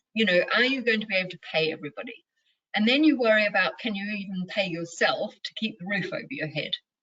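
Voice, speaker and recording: A woman speaks at a very fast pace in a fairly high voice with lively intonation. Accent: New Zealand. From New Zealand. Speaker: mindfulness and leadership coach. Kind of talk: interview.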